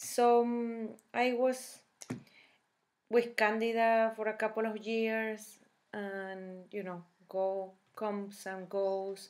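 Spoken with a Spanish accent at a very slow pace, the delivery is monotone and flat, broken by long, frequent pauses. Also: woman, fairly high pitch for a woman. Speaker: health vlogger. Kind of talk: casual talk to camera. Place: kitchen. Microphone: webcam.

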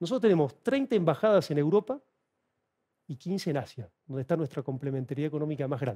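A very fast, somewhat breathy voice, dark and mellow in tone, with lively intonation against a quiet background. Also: man, fairly high pitch for a man. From Argentina. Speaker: author and China analyst; guest. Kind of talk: TV interview. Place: studio. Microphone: headset.

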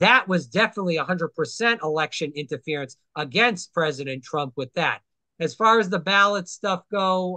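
A man's bright, sharp voice, high in pitch with ordinary pitch variation, at a moderate pace, dry with no echo against a quiet background. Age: 30s. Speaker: podcast host. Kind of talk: casual political interview. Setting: video call. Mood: earnest, opinionated. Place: home room. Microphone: webcam.

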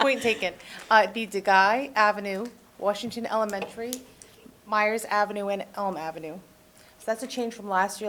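Speaking fairly quickly in an American accent, a woman has a medium pitch and ordinary pitch variation. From Massachusetts. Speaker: youth program presenter. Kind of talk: budget presentation at council meeting. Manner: fast.

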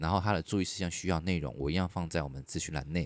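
A man races along at a very fast pace with ordinary pitch variation, and the sound is dry with no echo. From Taiwan. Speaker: podcast host. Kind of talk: casual chat. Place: studio. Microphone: studio mic.

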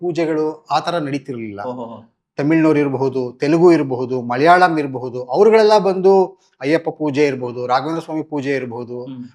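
A man against a quiet background. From Karnataka, Mysore and Bangalore. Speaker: community organizer. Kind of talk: interview.

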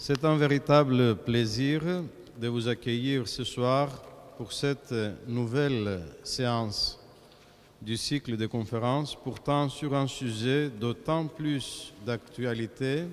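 A man speaks with fairly even intonation at a very slow pace. Long, frequent pauses break up his speech. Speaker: clergyman introducing a lecture. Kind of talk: formal introduction. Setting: church. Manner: formal. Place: church. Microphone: podium.

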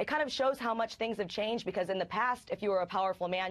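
Here a woman talks at a very fast pace. Her pitch shows ordinary variation. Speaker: remote news contributor. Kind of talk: interview answer. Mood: wry, critical. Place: office. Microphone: lapel.

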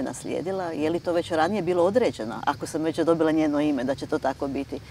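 A woman's very deep, low voice with ordinary pitch variation and light background noise. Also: dry sound with no echo. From eastern Croatia (Slavonia); Croatia. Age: 60s. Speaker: writer and university lecturer; university lecturer. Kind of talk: TV interview. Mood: calm, reflective. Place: garden.

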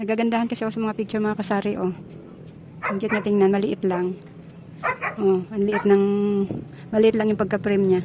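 Over noticeable background noise, a medium-pitched woman speaks at a very fast pace in monotone, flat intonation, with long, frequent pauses. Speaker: vlogger. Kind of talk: casual vlog narration. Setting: outdoors.

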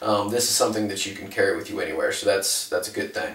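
There is audible room echo. Through it, a man can be heard talking. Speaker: fitness trainer. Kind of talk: tutorial. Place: kitchen. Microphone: camera far.

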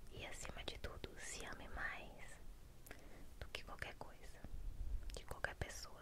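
Loud background noise accompanies a woman talking at a fairly slow pace. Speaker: ASMR roleplay host playing an older sister. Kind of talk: soft roleplay chat to the viewer. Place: home room. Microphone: studio mic.

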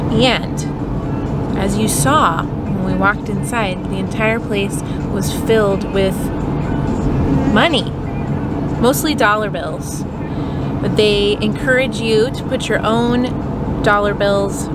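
A woman speaks at a very slow pace with long, frequent pauses, her voice dry with no echo over music in the background. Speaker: family travel vlogger. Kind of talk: casual vlog chat. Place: car. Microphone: phone near.

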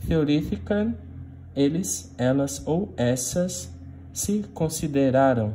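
A man at a very slow pace, somewhat breathy and dark, mellow in tone, with very wide pitch swings over light background noise. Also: medium pitch for a man. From Brazil, Minas Gerais. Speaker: Greek language teacher. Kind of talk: lecture. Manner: frequent filler hesitations.

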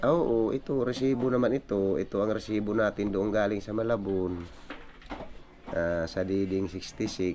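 Noticeable background noise sits under a man speaking fairly slowly at a fairly low pitch with ordinary pitch variation. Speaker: fisherman and vlogger. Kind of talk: casual vlog narration. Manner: halting, many fillers.

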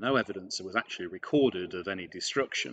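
In a very deep, low voice with ordinary pitch variation, a man speaks at a fairly quick pace. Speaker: presenter. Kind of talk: lecture. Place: home room. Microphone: webcam.

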